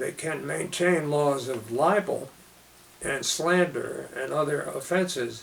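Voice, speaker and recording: A man with an American accent at a fairly slow pace, amid noticeable background noise. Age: 80s+. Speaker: author and journalism lecturer; World War Two veteran. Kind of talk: interview answer.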